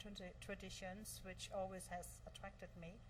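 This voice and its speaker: A woman speaks with a slight German accent. Room echo is audible around her voice. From Germany. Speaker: virtual assistant, entrepreneur. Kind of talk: interview.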